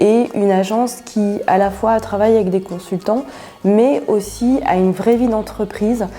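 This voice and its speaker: This woman speaks at a fairly slow pace with ordinary pitch variation, and there is noticeable background noise. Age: 40s. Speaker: agile coach. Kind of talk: interview testimony. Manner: hesitant, many filler sounds.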